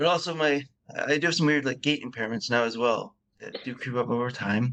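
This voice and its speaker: A man speaks at a medium pitch and a fairly quick pace, his intonation fairly even. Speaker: patient with deep brain stimulation. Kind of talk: interview conversation. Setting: remote call.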